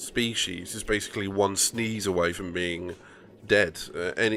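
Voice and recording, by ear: The text is read aloud in a natural voice.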